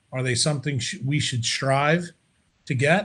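Somewhat breathy speech at a moderate pace. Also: man. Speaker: remote podcast guest. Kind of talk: interview answer. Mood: confident, contrarian. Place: home room. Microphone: video call.

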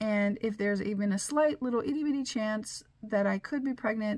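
A woman's voice is somewhat breathy against a quiet background. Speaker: vlogger. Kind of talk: casual vlog chat. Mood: mildly exasperated, laughing. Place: office. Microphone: phone near.

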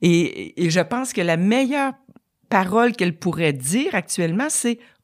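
A woman speaks at a fairly slow pace with a medium pitch and lively intonation, in a dry, close sound with no echo on a very clean recording with a silent background. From Quebec. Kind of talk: testimony.

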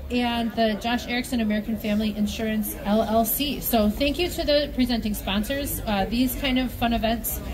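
Speaking at a moderate pace with hardly any pauses, a woman is heard over noticeable background noise. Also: fairly even intonation, very even loudness. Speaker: event broadcast host. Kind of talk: live event commentary. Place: street. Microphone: headset.

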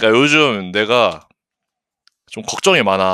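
Lively intonation marks this man's animated delivery, his tone bright and sharp. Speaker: gaming streamer. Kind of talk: casual livestream chat. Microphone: good mic, picks up breathing.

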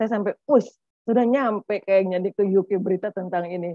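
Against a quiet background with a dry sound and no echo, a woman talks at a fairly quick pace and a medium pitch, with ordinary pitch variation and an unremarkable speaking voice. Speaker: tax official; presenter. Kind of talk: webinar presentation. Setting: video call. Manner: chatty, informal. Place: office. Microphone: webcam.

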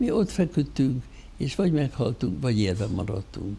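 A man's voice comes across dark and mellow in tone and somewhat breathy. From Hungary. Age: 80s+. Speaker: theatre financial adviser; guest. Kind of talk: interview. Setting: studio. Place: studio. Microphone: lapel.

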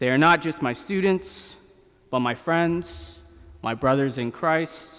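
The speaker is a man. He talks fairly slowly. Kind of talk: sermon. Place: church. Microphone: podium.

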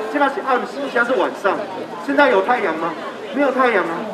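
A man talks at a fairly quick pace with an extremely high pitch. Noticeable background noise is present. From Taiwan (grew up partly in central Taiwan). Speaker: referendum campaigner; speaker. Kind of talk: political campaign speech. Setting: outdoor street rally. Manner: animated. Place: street. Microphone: handheld.

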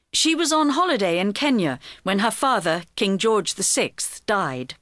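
Speech comes at a fairly slow pace. The background is silent on this very clean recording. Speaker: reader of quiz answers in textbook audio. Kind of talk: scripted reading for English learners.

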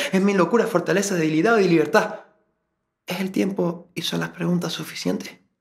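This man's pitch is high and his intonation fairly even. He talks at a fairly quick pace. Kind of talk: spoken word poetry. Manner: introspective, brooding.

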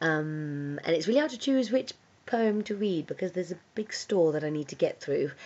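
With lively intonation, a woman delivers her words at a middling tempo. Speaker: spoken word poet. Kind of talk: casual talk to camera. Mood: warm, playful, smiling. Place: home room. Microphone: phone near.

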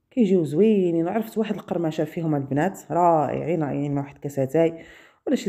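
A woman talks at a moderate pace with a Moroccan accent. Her tone is dark and mellow. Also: quiet background. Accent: Moroccan Darija. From Morocco. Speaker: cooking video host. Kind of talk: cooking tutorial.

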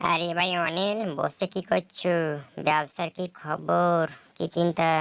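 A woman performs a cartoonish character voice at a fairly slow pace in monotone, flat intonation. The recording is very clean, with a silent background. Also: fairly low pitch for a woman. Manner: warm, reassuring.

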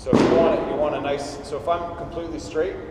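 A man's speech is heard through loud background noise and audible room echo. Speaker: class instructor. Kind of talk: tutorial. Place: hall. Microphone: camera far.

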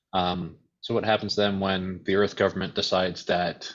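A man with an American accent speaks at a very deep, low pitch in a monotone, flat intonation. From US, born in Uruguay. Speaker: author and editor. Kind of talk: online panel discussion. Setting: video call. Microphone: video call.

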